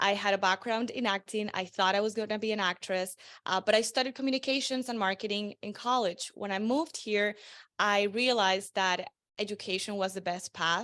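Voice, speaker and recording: In a quiet background, a woman with a Spanish accent speaks at a medium pitch with a bright, sharp tone and fairly even intonation. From Venezuela. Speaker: marketing strategist. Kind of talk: interview.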